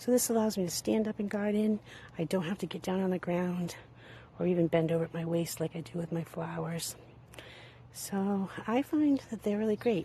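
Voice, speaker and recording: A woman speaks at a moderate pace and medium pitch, with ordinary pitch variation. Her voice is somewhat breathy, with a dark, mellow tone. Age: 60s. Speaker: home gardener. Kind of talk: gardening tutorial. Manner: casual, conversational with fillers.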